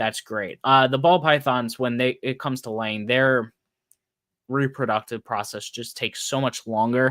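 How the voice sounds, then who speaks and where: In a normal speaking voice, a man talks at a moderate pace and medium pitch with fairly even intonation, recorded dry and close with no echo against a very clean, silent background. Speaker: podcast host, snake breeder. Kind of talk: solo podcast monologue. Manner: casual, filler-heavy.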